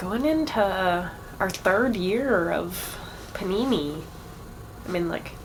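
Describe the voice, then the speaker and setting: Very slowly and with long, frequent pauses, a woman speaks at a medium pitch with lively intonation, amid noticeable background noise and audible room echo. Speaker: drag show host. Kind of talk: live stream show announcements. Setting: online livestream. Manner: casual, stumbling over words.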